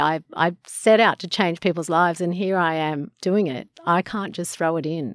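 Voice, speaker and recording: A woman speaks with an Australian accent and fairly even intonation. The recording is very clean, with a silent background and a dry, close sound with no echo. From Sydney eastern suburbs, Australia. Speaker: surf school owner. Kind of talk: interview.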